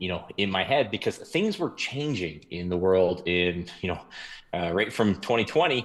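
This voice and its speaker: Lively intonation from a man with a plain, everyday voice and fairly low pitch, on a very clean recording with a silent background. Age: 40s. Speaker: investor. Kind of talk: casual interview. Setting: podcast. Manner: many fillers and restarts.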